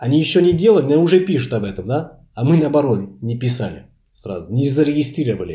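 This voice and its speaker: With a Portuguese accent, a man speaks at medium pitch in a dark, mellow tone, with vocal fry and very wide pitch swings. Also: fairly quick pace. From France. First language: Portuguese (speaking Russian). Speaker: language lecturer. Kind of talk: interview.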